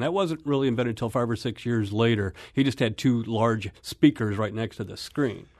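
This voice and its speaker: A man with an American accent speaks at a medium pitch against a quiet background. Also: hardly any pauses. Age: 50s. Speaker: film website editor. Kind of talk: radio interview. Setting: studio. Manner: hesitant, with fillers.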